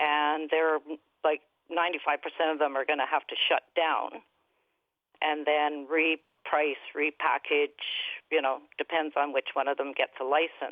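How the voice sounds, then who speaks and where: A woman's very deep, low voice at a fairly slow pace, flat and monotone in intonation, with very even loudness. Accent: Canadian. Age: 60s. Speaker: caller. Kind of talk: call-in radio interview. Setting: phone call. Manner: casual, hesitant with fillers.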